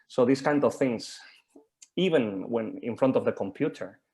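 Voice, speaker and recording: The speaker is a man. He talks with a Spanish accent. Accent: Spanish accent, obvious. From Spain. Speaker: mentor and supervisor. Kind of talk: group discussion on video call. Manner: halting, many fillers and repetitions.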